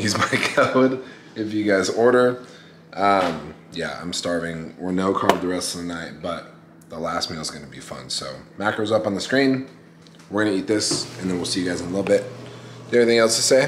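Against noticeable background noise, a man talks at a fairly quick pace in a fairly low pitch. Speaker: bodybuilder vlogger. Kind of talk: casual vlog chat. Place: kitchen. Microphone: phone near.

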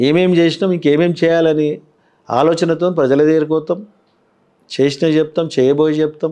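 A man's fairly high voice has a dark, mellow tone and a monotone, flat intonation. His loudness stays very even over a quiet background. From Telangana, Patancheru area; Telangana. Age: 50s. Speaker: politician; politician interviewee. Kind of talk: interview. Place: studio. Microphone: lapel.

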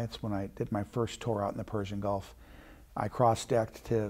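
A man talks at a fairly quick pace in a monotone, flat intonation. Behind him the background is quiet. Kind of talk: interview answer. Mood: warm, proud reminiscence. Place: studio. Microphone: lapel.

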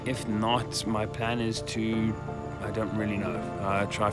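A man speaks in a dry recording with no echo while loud music plays behind him. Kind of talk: casual vlog chat. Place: open country. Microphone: phone near.

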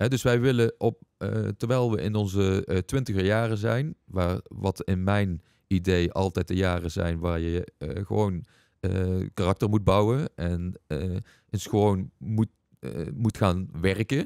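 This man's voice sits very deep and low, dark and mellow in tone, with ordinary pitch variation. He talks at a fairly slow pace, and the sound is dry with no echo. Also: quiet background. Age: 40s. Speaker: entrepreneur and investment coach; investment coach. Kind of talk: casual interview. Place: studio. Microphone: studio mic.

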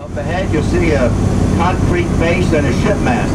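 Loud background noise fills the recording. The pace is moderate. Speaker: tour guide. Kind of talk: tour guide commentary. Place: bus.

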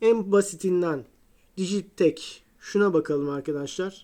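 Speaking very slowly, a woman has a dark, mellow tone at a medium pitch with ordinary pitch variation, recorded very cleanly over a silent background. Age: 40s. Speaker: guitar hobbyist YouTuber. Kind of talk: tutorial. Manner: casual, repetitive fillers.

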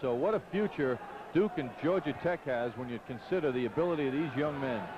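Against noticeable background noise, a man talks at a moderate pace with lively intonation. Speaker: basketball color commentator. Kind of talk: live sports analysis.

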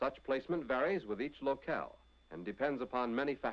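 His pitch is fairly high and his voice carries vocal fry. This man talks at a fairly quick pace with lively intonation. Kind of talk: 1940s wartime training film narration. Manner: formal, authoritative, brisk; measured, declarative, newsreel-style delivery.

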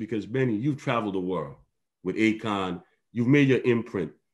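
With a Virgin Islands accent, a man speaks using lively intonation. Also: quiet background. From US Virgin Islands. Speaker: author and town hall moderator. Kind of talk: interview question. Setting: video call. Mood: reflective, earnest. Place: home room. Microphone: video call.

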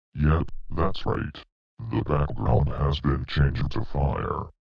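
In a put-on character voice, a man speaks with an extremely low pitch and vocal fry. The pace is slow and the pitch barely moves.

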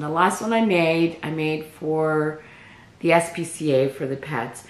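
A woman speaks at a very slow pace. There is noticeable background noise and audible room echo. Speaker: crochet vlogger. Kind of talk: casual chat.

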